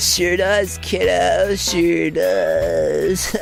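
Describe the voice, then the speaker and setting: Someone does a put-on character voice while clear music plays in the background. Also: man. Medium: read story. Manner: laid-back, mild.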